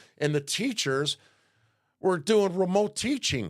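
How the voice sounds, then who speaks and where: A man with a Chicago accent, fairly high in pitch and animated in tone, with very wide pitch swings at a fairly slow pace, in a very clean recording over a silent background. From Chicago South Side, US Midwest. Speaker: political talk show host. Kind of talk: casual political rant.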